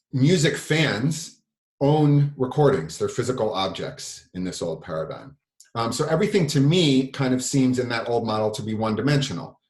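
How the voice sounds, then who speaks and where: A man's medium-pitched, somewhat breathy voice with lively intonation and a fairly quick pace. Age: 40s. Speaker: record label owner and musician. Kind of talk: workshop lecture. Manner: fast.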